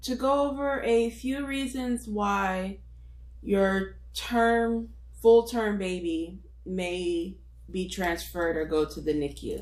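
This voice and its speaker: A woman's very slow speech with audible room echo. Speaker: nurse. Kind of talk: tutorial. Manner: casual, with frequent fillers.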